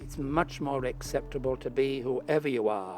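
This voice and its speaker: With a Cumbrian accent, a man talks at a fairly slow pace and a medium pitch over noticeable background noise. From Cumbria, northern England (Carlisle). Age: 70s. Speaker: interviewee sharing life story. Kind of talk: interview testimony. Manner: hesitant.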